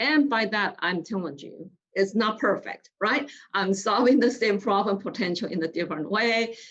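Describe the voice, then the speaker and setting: Her lively intonation carries through as a woman with a non-native accent speaks at a fairly slow pace. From outside the US, immigrant. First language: not English. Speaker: business leader, guest speaker. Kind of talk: panel interview. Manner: halting, many fillers and restarts.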